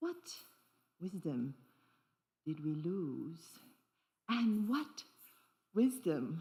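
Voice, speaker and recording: In a dark, mellow tone, a woman speaks very slowly and somewhat breathily. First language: not English; grew up with three languages. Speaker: dancer and performance artist. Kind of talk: solo stage performance with audience interaction. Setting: stage with audience. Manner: animated.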